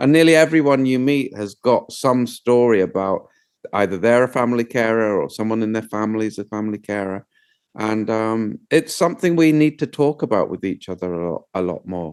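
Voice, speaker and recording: Speaking fairly quickly with a British accent, a man uses lively intonation at a medium pitch. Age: 60s. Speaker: documentary filmmaker. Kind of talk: interview conversation.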